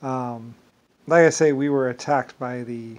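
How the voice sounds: Speaking at a fairly slow pace, a man keeps a medium pitch, fairly even intonation and a slightly mellow tone.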